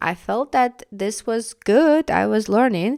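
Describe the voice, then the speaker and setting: A woman with a Russian accent speaks at a fairly high pitch with lively intonation, in a dry, close recording with no echo. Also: very clean recording, silent background. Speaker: podcast host, language learning coach. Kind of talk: podcast monologue.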